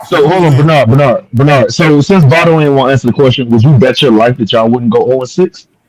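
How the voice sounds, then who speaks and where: Rushing at a very fast pace with hardly any pauses, a man speaks in a fairly high pitch with ordinary pitch variation. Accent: American. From Bahamas. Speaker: podcast host. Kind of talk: heated debate.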